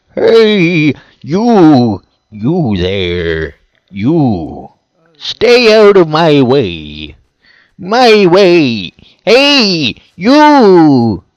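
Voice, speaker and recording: In a gruff put-on character voice, someone speaks very slowly over a quiet background. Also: man, fairly high pitch for a man. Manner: slurring, gruff.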